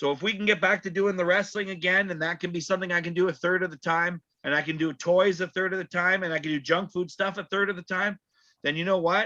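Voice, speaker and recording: Talking at a very fast pace with a Canadian accent, a man has a high pitch and a bright, sharp tone. His intonation stays monotone and flat against a quiet background. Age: 40s. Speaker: wrestling ring announcer and referee. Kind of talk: casual chat.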